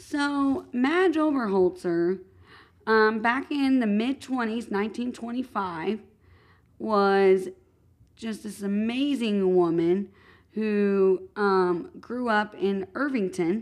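Over a quiet background, a woman with an American accent speaks at a very slow pace. Her pitch is fairly high and her intonation lively. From Madison, Indiana. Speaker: podcast co-host. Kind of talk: casual chat.

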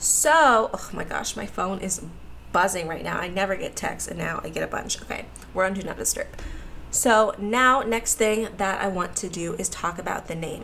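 Over noticeable background noise, someone talks at a moderate pace with an American accent. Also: woman. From US, Pittsburgh. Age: 20s. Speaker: podcast host and college student. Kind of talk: casual chat.

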